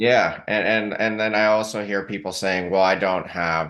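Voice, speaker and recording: A man speaks in a plain, everyday voice with a fairly low pitch. His pace is fairly slow and his intonation fairly even. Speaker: podcast host. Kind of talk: podcast interview host talk.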